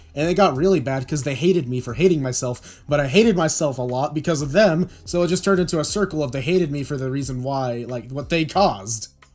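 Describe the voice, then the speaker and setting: A somewhat breathy man talks at a very fast pace with hardly any pauses. His pitch variation is ordinary. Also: fairly high pitch for a man. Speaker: podcast guest. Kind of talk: casual podcast conversation.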